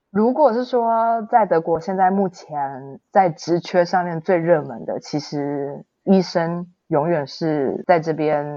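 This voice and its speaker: With a Taiwanese accent, a woman talks at a fairly low pitch using lively intonation. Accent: Taiwanese Mandarin. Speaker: blogger living abroad. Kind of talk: interview.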